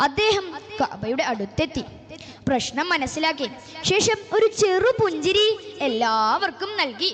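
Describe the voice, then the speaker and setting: A woman's extremely high voice with very wide pitch swings and very even loudness, over noticeable background noise. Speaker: storyteller addressing an audience at a youth religious gathering. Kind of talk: storytelling speech for a religious event, dramatic narration.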